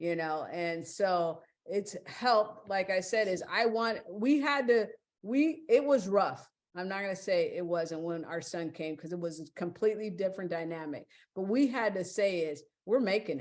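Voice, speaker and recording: In a normal speaking voice, a woman with a medium pitch speaks at a moderate pace with lively intonation. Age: 60s. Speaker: podcast guest. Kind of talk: casual interview chat.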